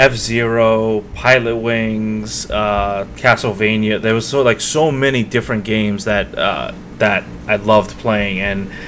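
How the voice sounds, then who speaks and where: A man talks with fairly even intonation and a fairly low pitch. Noticeable noise sits in the background. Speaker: video game podcast co-host. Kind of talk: casual chat.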